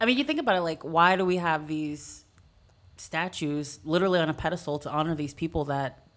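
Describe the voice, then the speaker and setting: A woman with an American accent has a very deep, low pitch and ordinary pitch variation. She talks at a moderate pace in a very clean recording with a silent background. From Texas, San Antonio. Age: 30s. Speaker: fitness coach. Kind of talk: casual discussion.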